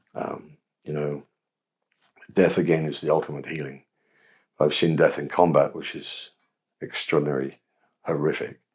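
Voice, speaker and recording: This man has a very deep, low pitch. He speaks with a southern English accent. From England. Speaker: Episcopal priest. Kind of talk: interview answer.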